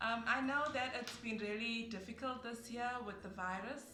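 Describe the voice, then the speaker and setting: Music plays in the background as a woman with a fairly high pitch talks at a fairly slow pace, her voice carrying audible room echo. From South Africa. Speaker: online English teacher and YouTuber. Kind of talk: casual vlog to camera.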